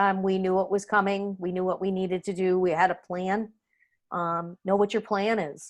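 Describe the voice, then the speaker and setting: A woman with an American accent talks at a moderate pace and medium pitch in a normal speaking voice over a quiet background. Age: 60s. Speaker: sailor, overboard survivor, guest presenter. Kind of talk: Zoom Q&A talk to a sailing association. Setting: online video call.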